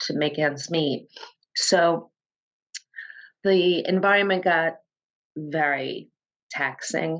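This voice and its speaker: Slowly, at a very slow pace with long, frequent pauses, a woman speaks with fairly low pitch and fairly even intonation. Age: 60s. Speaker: entrepreneur, former coaching client. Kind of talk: interview conversation. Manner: halting.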